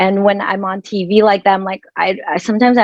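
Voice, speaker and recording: A woman speaks with a Filipino accent at a moderate pace. Her pitch is medium. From Philippines. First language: Filipino language. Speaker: dermatologist. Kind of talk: panel discussion.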